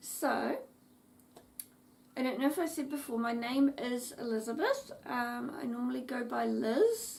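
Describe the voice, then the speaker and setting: A woman talks at a fairly slow pace with long, frequent pauses. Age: 30s. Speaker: craft vlogger. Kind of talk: casual chat.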